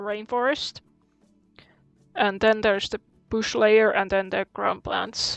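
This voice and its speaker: A woman mumbling in a non-native accent, fairly high-pitched and fairly slow, with music in the background. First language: not English. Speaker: gaming streamer. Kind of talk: live gameplay commentary. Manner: halting.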